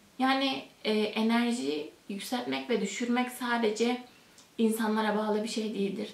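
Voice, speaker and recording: A woman at a fairly slow pace with ordinary pitch variation, plus audible room echo. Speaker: host of a spiritual talk channel. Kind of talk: explanatory talk to camera. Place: home room.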